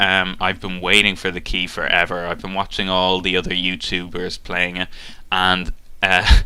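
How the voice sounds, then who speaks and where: Monotone and flat in intonation, a man speaks at a very deep, low pitch with a bright, sharp tone. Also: moderate pace. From Ireland, south of Dublin. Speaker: gaming YouTuber. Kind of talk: casual talk to webcam, Q&A. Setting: webcam. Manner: hesitant, many fillers.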